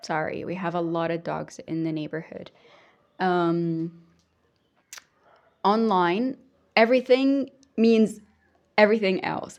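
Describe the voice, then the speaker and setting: Against a quiet background, a woman with a medium-pitched voice speaks at a fairly slow pace, her intonation lively. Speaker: hypnotherapist and coach. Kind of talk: casual vlog monologue. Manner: hesitant, many fillers.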